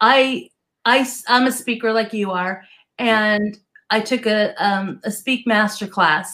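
A woman's bright, sharp voice sits at a fairly high pitch with ordinary pitch variation. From US Northeast. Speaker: business and success coach. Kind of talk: casual interview chat.

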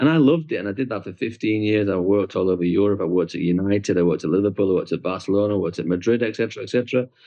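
At a very fast pace with hardly any pauses, a man talks in a fairly low pitch with ordinary pitch variation. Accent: British. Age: 40s. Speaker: tour operator. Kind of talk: interview.

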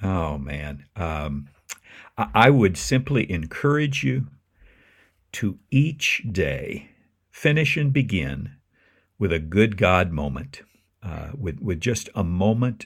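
A man with a very deep, low voice and vocal fry speaks at a very slow pace, his pitch swinging very widely. The recording is very clean, with a silent background. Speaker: minister. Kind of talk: interview.

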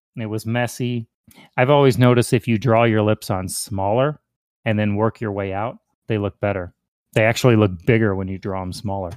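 With an American accent, a man in an ordinary speaking voice talks at a fairly quick pace, his pitch fairly low and intonation fairly even. The recording is very clean with a silent background and a dry, close sound with no echo. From US Midwest, Chicago area. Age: 40s. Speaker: crossdresser, military veteran. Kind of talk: casual interview.

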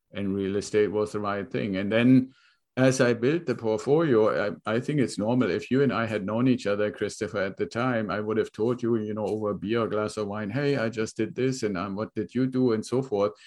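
Speaking at a fairly quick pace with hardly any pauses, a man with a German accent uses a fairly low pitch and ordinary pitch variation over a quiet background. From Germany. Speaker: real estate investor. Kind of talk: interview.

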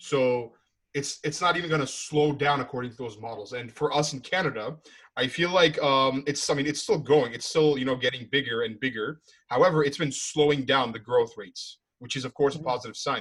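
Fairly quick and fairly even in intonation, a man talks in an ordinary speaking voice with a fairly high pitch. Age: 20s. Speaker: podcast host. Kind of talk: casual chat. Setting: call.

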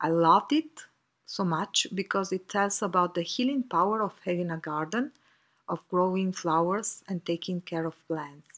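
This woman speaks with an Italian accent at a fairly slow pace. Her pitch sits fairly low, and the recording is very clean with a silent background. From Italy. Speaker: author. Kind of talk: recorded personal reflection. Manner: halting.

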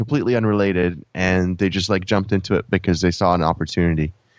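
A man's ordinary speaking voice, fairly low in pitch, with fairly even intonation. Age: 30s. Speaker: product development coach, former mechanical engineer. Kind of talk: casual interview.

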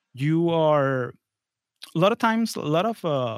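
A man with a Spanish accent talks at a fairly slow pace, the sound dry and close with no echo and the recording very clean over a silent background. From Florida, born in Venezuela. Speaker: engineer and podcast host, guest here. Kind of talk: interview, casual professional conversation.

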